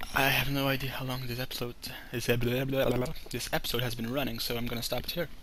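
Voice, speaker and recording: Amid audible room echo, a man with a non-native accent speaks at medium pitch and a fairly quick pace in a monotone, flat way. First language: not English. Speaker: gaming video creator. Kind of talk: let's play commentary. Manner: casual, thinking aloud.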